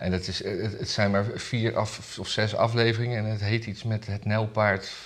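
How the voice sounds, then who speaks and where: A man's fairly low-pitched, normal speaking voice at a fairly slow pace. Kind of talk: casual chat about weekly news.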